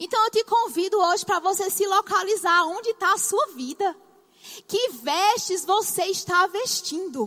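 A bright, sharp voice with a northeastern Brazilian accent, raised and projected. Its loudness stays very even throughout. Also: woman, extremely high pitch for a woman. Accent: Brazilian Northeastern, drawling. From Brazilian Northeast. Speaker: bible school teacher. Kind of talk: sermon-style lecture. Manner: drawling.

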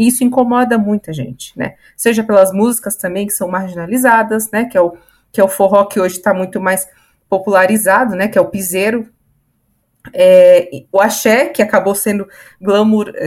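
A plain, everyday voice from a woman, medium in pitch, with ordinary pitch variation and a moderate pace. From Santos, São Paulo state, Brazil. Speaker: podcast panelist. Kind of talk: casual panel discussion.

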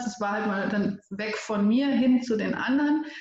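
A woman with an unremarkable speaking voice speaks at a fairly high pitch, her intonation fairly even. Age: 30s. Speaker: storytelling coach and editor. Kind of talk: interview conversation.

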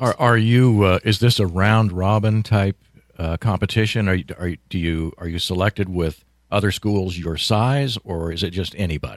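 An ordinary speaking voice, with ordinary pitch variation. The recording is very clean, with a silent background and a dry, close sound with no echo. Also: man, fairly low pitch for a man, moderate pace. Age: 60s. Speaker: radio host. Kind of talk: casual chat. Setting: studio.

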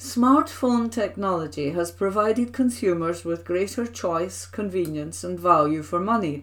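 A woman's fairly low-pitched, lively voice, a normal speaking voice, at a moderate pace. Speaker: volunteer newsreader. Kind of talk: newsreading, reading newspaper articles aloud. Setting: recorded at home. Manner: formal, even, measured reading of opinion pieces.

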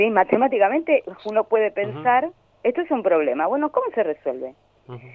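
A woman speaks at a very fast pace, her fairly high pitch swinging very widely. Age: 60s. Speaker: educator and social psychologist. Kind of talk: interview. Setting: phone call. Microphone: phone.

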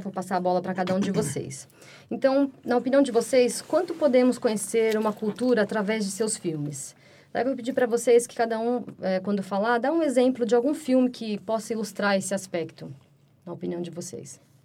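A woman's fairly high voice, a plain, everyday voice with lively intonation at a fairly quick pace. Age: 30s. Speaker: podcast host and music student. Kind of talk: casual chat.

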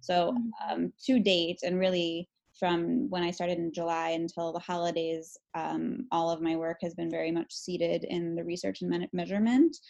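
In an unremarkable speaking voice, a woman with an American accent talks at a fairly low pitch and moderate pace, her pitch varying in an ordinary way over a quiet background. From Chicago, Illinois. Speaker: graduate student, former Peace Corps volunteer. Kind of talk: casual chat.

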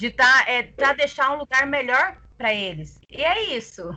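A woman's high, bright, sharp voice with lively intonation at a fairly slow pace. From Brazil, interior of Mato Grosso (Tangará da Serra). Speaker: community activist. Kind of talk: casual panel conversation.

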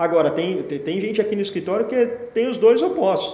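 Noticeable background noise and audible room echo around a male speaker. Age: 40s. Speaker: entrepreneur. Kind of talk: interview.

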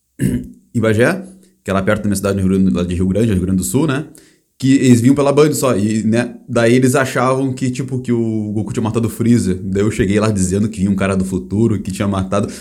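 A man's fairly low-pitched voice with a dark, mellow tone, vocal fry and lively intonation, at a fairly quick pace, with audible room echo. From Brazil. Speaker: podcast host. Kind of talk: casual chat.

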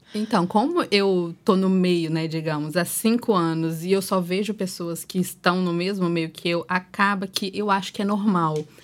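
A woman with a plain, everyday voice at medium pitch, moderate pace and fairly even intonation, in a very clean recording with a silent background. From Espírito Santo, Brazil. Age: 20s. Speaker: social media influencer and mother of four. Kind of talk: casual podcast chat.

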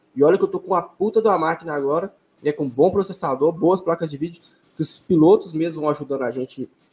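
Using a plain, everyday voice, a man speaks at a fairly quick pace with a fairly high pitch and ordinary pitch variation. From Brazil, Belo Horizonte. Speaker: sim racing league organizer and streamer. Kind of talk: casual interview.

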